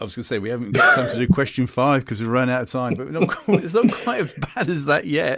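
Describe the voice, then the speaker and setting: A man with a British accent talks very fast at a medium pitch, his intonation lively. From UK. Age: 60s. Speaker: podcast host. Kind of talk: podcast interview.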